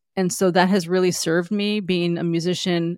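A woman's fairly low-pitched, unremarkable speaking voice, with fairly even intonation at a moderate pace, in a very clean recording with a silent background and a dry, close sound with no echo. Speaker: entrepreneur and former musician. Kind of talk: interview.

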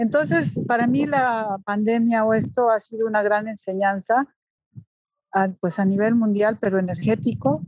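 A woman speaks at a fairly slow pace with ordinary pitch variation. Hers is an unremarkable speaking voice. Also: fairly high pitch for a woman. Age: 40s. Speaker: photographer. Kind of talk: casual interview.

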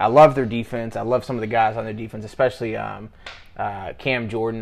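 Moving at a fairly quick pace, a man speaks at a medium pitch with ordinary pitch variation. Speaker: sports podcast co-host. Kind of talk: casual chat. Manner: fast.

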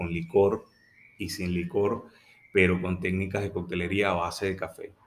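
The recording is very clean, with a silent background. The intonation stays monotone and flat. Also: man. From Venezuela. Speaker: coffee entrepreneur. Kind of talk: interview.

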